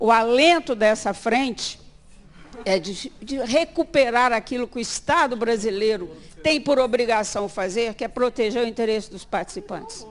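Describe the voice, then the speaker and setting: Her fairly high voice carries lively intonation as the woman keeps to a moderate speed. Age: 60s. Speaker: pension participants' association director. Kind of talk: speech at a parliamentary meeting. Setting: speaking from a podium at a public meeting. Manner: animated.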